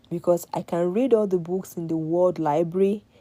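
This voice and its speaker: A woman's dark, mellow tone with a Nigerian accent, at a fairly slow pace with fairly even intonation. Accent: Nigerian (Yoruba) English. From Nigeria, Yoruba. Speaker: live-stream host giving advice to women. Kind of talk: casual motivational talk to live audience. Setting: live stream.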